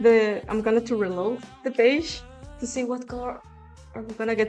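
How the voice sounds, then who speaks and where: Music plays in the background as a woman speaks in a fairly high pitch with fairly even intonation. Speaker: digital artist. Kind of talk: casual talk to viewers.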